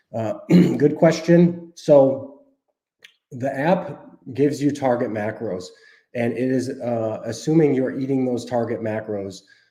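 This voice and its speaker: A man with a medium-pitched voice talks at a fairly slow pace, pausing long and often. The room echo is audible. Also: ordinary pitch variation. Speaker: dietitian and app cofounder hosting a Q&A. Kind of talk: live stream Q&A. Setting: live stream. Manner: casual, with frequent fillers.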